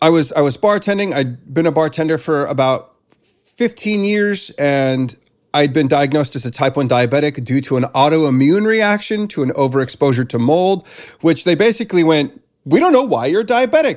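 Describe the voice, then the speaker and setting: A man with an ordinary speaking voice and a fairly high pitch talks at a moderate pace, his intonation lively. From US West, California. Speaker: breathwork coach. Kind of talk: instructional interview, guiding breathwork. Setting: video call.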